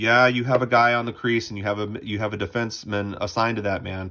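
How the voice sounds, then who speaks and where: Recorded very cleanly against a silent background, a man talks at a fairly quick pace with a bright, sharp tone. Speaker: lacrosse coach. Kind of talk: tutorial. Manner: fast.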